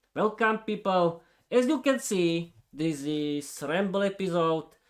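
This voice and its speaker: The speaker talks at a very slow pace with a Slovak accent. Their intonation is lively. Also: man. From eastern Slovakia. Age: 30s. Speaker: podcaster, English learner. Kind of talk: unscripted monologue. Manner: hesitant, with fillers and restarts.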